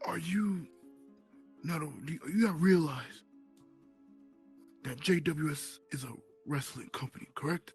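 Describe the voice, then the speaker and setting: Put-on character voice at a middle pitch, moderate pace with long, frequent pauses, faint music in the background. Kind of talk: mock courtroom speech. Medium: machinima.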